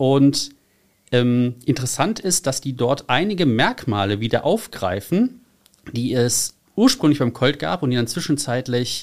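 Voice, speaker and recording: A plain, everyday voice speaks at a fairly slow pace with lively intonation. The recording is very clean, with a silent background. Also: man. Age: 30s. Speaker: car enthusiast and community founder. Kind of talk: casual interview. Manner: frequent filler sounds.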